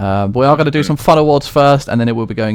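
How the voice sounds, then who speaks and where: Very fast speech from a man with a British accent and lively intonation. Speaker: esports league award show host. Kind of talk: live stream award show. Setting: live Twitch stream.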